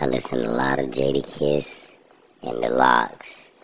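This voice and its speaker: Talking at a very slow pace, a man is heard against noticeable background noise. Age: 30s. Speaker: solo podcaster. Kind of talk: casual monologue. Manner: animated.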